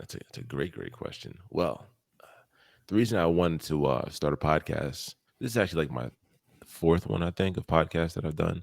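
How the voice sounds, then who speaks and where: Fairly quick speech with vocal fry, lively intonation and big swings in loudness on a very clean recording with a silent background. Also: man, very deep, low pitch for a man. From US East Coast. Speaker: podcast host. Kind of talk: casual chat.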